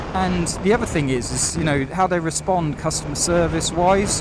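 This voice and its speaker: A man's lively voice in a British accent at a moderate pace, amid noticeable background noise and audible room echo. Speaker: motorcycle vlogger. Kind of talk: casual vlog commentary while riding. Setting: riding a motorbike outdoors.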